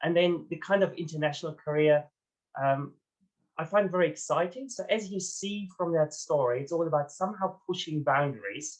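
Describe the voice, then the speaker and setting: This man talks at a moderate pace in a high voice, his pitch moving in an ordinary way. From Germany. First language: German. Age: 40s. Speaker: executive coach and ultra runner. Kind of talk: interview.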